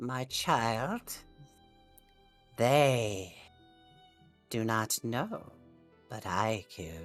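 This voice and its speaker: A put-on character voice speaks at a low pitch in a solemn tone, very slowly, with long, frequent pauses. Faint music plays in the background. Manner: eerie, solemn.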